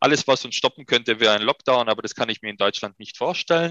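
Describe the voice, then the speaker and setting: A man's medium-pitched voice with a bright, sharp tone and a dry, close sound free of echo. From Upper Swabia, Germany (Ehingen an der Donau). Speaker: restaurateur. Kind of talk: interview conversation.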